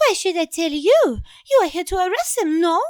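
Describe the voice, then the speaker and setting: In a squeaky, put-on character voice with an extremely high pitch, a woman speaks at a fairly quick pace with lively intonation and a playful, theatrical tone. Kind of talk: comic overacting. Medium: audio drama.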